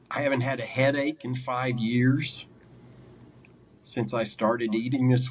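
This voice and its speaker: A man in a normal speaking voice talks at a fairly slow pace, with a medium pitch and fairly even intonation. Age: 60s. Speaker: carnivore diet coach and former mental illness sufferer. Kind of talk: interview testimony. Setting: sit-down interview.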